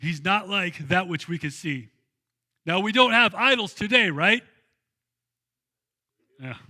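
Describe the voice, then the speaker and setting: Projecting a raised voice, a man talks fairly slowly with long, frequent pauses, his pitch high and his tone bright and sharp. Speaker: pastor. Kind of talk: sermon. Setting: church. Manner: conversational, casual.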